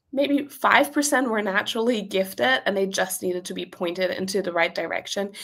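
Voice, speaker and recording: A woman with a German accent. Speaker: business owner and copywriting coach. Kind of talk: interview.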